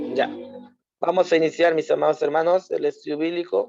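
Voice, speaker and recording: A man talks in a monotone with flat intonation and a fairly high pitch. His tone is dark and mellow, and the sound is dry and close with no echo. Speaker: Bible study teacher. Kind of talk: Bible study lesson.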